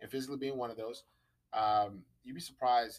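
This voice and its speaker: A man talks at medium pitch and a fairly quick pace. He has an unremarkable speaking voice with fairly even intonation. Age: 20s. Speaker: podcast guest discussing psychology. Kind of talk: casual chat.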